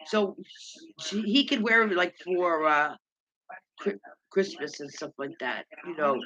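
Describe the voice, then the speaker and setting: Long, frequent pauses within a fairly slow delivery. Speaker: livestream host. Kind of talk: casual chat. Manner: loud.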